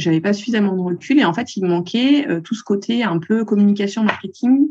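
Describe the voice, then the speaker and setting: A woman's medium-pitched, somewhat breathy voice at a moderate pace with lively intonation. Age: 40s. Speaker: accountant and photographer. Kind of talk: interview.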